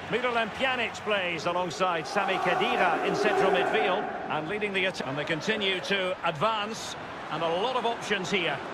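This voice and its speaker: A man speaks in a raised, projected voice at a high pitch, with ordinary pitch variation. Noticeable background noise runs behind him. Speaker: football commentator. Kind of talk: live football commentary. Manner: fast-paced, clipped play-by-play delivery.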